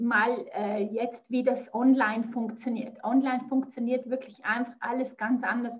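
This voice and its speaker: Speaking fairly slowly, a woman holds a high voice in a monotone, flat intonation. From Switzerland, near Zurich. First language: Swiss German (speaking German). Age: 50s. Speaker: business mentor. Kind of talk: casual interview.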